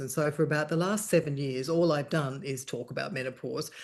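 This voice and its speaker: Speaking at a fairly quick pace, a woman with an Australian accent has a very deep, low pitch. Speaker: journalist and menopause charity founder. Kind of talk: interview conversation.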